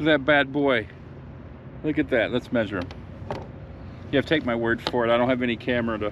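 A man talks at a fairly quick pace but with long, frequent pauses. The sound is dry with no echo, though noticeable background noise is present. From Michigan. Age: 50s. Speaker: fishing YouTuber. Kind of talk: casual outdoor vlog narration. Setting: outdoors in a kayak. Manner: animated. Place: waterside. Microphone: phone near.

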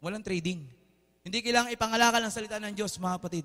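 Shouting in a raised, projected voice, the speaker sounds bright, sharp and animated with lively intonation against a quiet background. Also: man. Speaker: preacher. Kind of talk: sermon. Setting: church with congregation. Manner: animated, call-and-response, urging the congregation to shout back; warm, informal, mixes Tagalog with English. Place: church.

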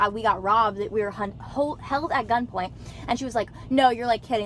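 A woman speaks at a fairly quick pace. The sound is dry with no echo, with light background noise. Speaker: vlogger. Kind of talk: casual vlog chat, storytelling. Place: car. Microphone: phone near.

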